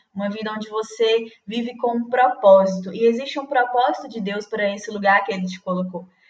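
A woman's plain, everyday voice, fairly high-pitched and fairly even in intonation, at a fairly quick pace with hardly any pauses. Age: 20s. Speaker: student campus ministry volunteer. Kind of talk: casual interview chat.

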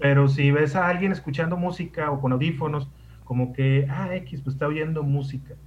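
Behind noticeable background noise, a man's fairly high voice holds a moderate pace and fairly even intonation. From Mexico, Sonora (Ciudad Obregón). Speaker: radio host, guest. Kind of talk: casual chat.

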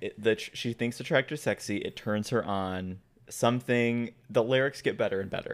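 At a moderate pace, a man talks in a plain, everyday voice of medium pitch, his pitch varying in an ordinary way. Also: very clean recording, silent background. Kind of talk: casual chat. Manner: excitable.

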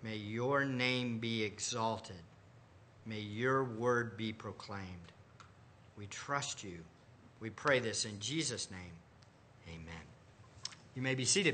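There are long, frequent pauses as a man speaks at a fairly slow pace. His pitch variation is ordinary, while his loudness swings widely. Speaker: pastor. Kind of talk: sermon. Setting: church.

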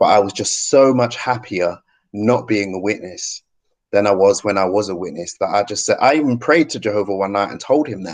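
Against a quiet background, a man with a British accent speaks at a fairly quick pace in a fairly low voice with ordinary pitch variation. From UK. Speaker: YouTube channel host, ex-Jehovah's Witness. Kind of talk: interview.

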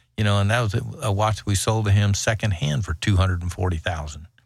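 Somewhat breathy and fairly quick, a man speaks with a very deep, low pitch and fairly even intonation. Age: 70s. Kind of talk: casual interview.

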